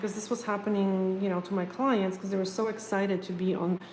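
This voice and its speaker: A woman talks at a fairly quick pace and medium pitch in a monotone, flat intonation, with noticeable background noise and audible room echo. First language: not English. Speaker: nail technician. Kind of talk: live stream chat and tutorial. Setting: home live stream. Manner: casual, hesitant with fillers.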